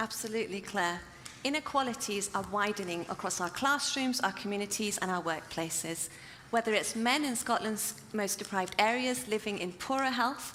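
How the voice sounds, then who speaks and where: A woman talks at a moderate pace with lively intonation and a fairly high pitch. There is noticeable background noise. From Iran. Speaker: startup co-founder, researcher. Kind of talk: startup pitch.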